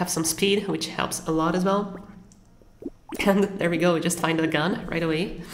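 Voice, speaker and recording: Over noticeable background noise and audible room echo, a woman with a fairly low pitch speaks in a monotone, flat intonation at a moderate pace with long, frequent pauses. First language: not English. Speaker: gaming content creator. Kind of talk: gameplay commentary. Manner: casual, occasional self-corrections.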